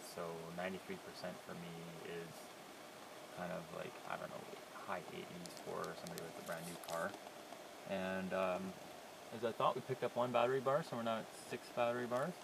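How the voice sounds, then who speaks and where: Amid noticeable background noise, a man speaks at a moderate pace with long, frequent pauses, in a dry sound with no echo. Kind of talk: casual vlog commentary. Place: car. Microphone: phone near.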